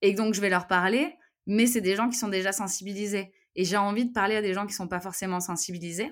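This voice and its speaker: A woman's medium-pitched voice at a very fast pace, ordinary pitch variation, very clean recording with a silent background. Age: 30s. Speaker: travel YouTuber. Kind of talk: interview. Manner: halting, many repetitions and fillers.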